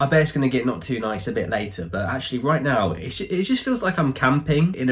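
The voice carries vocal fry and very wide pitch swings over a quiet background. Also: man. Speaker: vlogger. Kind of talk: casual vlog chat. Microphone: phone near.

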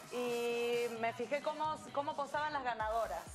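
Over clear background music, a woman talks in a high pitch with ordinary pitch variation. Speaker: guest. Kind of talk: interview answer. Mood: cheerful, playful. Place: studio.

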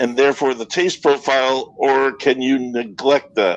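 A man speaks at a moderate pace in a medium pitch. He has a plain, everyday voice. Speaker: whiskey and beer writer. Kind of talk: casual chat. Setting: video call.

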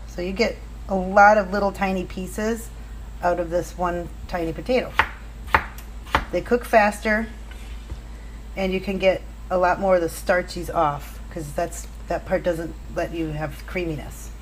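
Over light background noise, a woman talks at a moderate pace, leaving long, frequent pauses. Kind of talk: cooking tutorial. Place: kitchen. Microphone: camera far.

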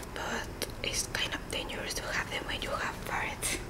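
Soft-spoken whispering at a fairly slow pace over loud background noise. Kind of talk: casual vlog chat. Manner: soft whisper over page turning. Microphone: phone near.

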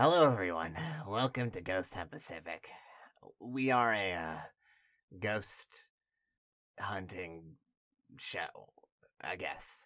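Using a raspy, put-on character voice at a fairly low pitch, a man speaks fairly slowly with lively intonation and long, frequent pauses in a very clean recording with a silent background. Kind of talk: amateur TV presenter. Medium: audio drama. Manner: awkward, rambling, earnest; lecturing, enthusiastic.

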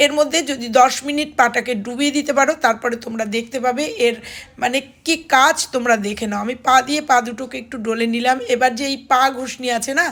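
This woman's voice is high-pitched. There's fairly even intonation throughout. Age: middle-aged. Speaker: home remedies vlogger. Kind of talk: tutorial.

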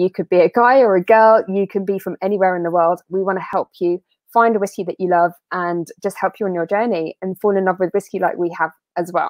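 Against a quiet background, a woman talks at a fairly quick pace in a dry sound with no echo. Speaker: whisky festival host. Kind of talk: live-streamed whisky tasting. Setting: video call. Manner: animated. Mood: friendly, upbeat. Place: home room. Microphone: earbuds.

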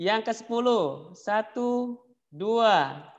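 Speaking at a very slow pace, a man with a high voice shows ordinary pitch variation. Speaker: event MC. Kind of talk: formal event emceeing. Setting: video call.

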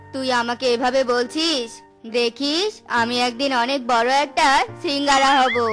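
Doing a croaky, put-on character voice at a high pitch, a woman talks at a moderate pace over clear music in the background. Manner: boastful, naive.

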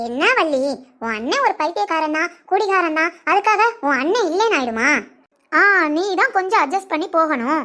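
A woman's squeaky, cartoonish character voice, extremely high in pitch with very wide pitch swings, at a moderate pace. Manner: teasing, giggling.

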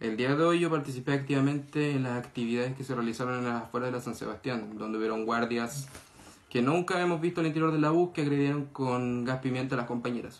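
A man speaks at a very fast pace in a Chilean accent. His pitch varies in an ordinary way. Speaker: student activist. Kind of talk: testimony. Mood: serious, subdued. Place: home room. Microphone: phone near.

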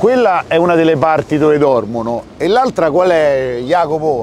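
A man with a Roman accent and lively intonation, in a dry sound with no echo over light background noise. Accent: Roman Italian. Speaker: YouTuber doing street reportage. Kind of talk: on-location street interviews and vlog narration. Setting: outdoors at a train station. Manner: animated, crude joking. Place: street.

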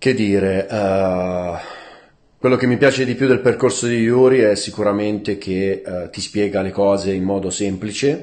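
A man speaks at a fairly slow pace in a fairly low voice with ordinary pitch variation. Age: 40s. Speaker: online business student. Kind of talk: testimonial. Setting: at home. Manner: halting, many fillers and repetitions. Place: home room. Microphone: phone near.

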